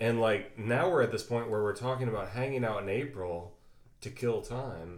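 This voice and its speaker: At a fairly quick pace, a man talks in a plain, everyday voice at a medium pitch with ordinary pitch variation. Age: 30s. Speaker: podcast host. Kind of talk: casual chat.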